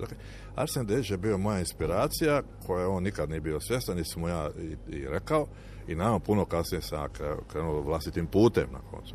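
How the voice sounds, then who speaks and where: A man's very deep, low voice with vocal fry, lively intonation and a very fast pace. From Croatia, Dalmatia (Šibenik). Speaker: lyricist and shipbuilding engineer. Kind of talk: interview. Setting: outdoors on a town square.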